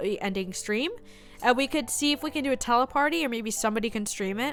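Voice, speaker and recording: Over music in the background, a woman speaks fairly quickly in a high voice with lively intonation. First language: Spanish. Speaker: live streamer. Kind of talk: casual chat. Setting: livestream with chat. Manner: halting.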